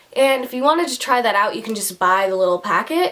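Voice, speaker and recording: Noticeable background noise sits under a woman talking at a fairly quick pace with lively intonation. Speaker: beauty vlogger. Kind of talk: product review tutorial. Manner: fast; casual, filler-heavy.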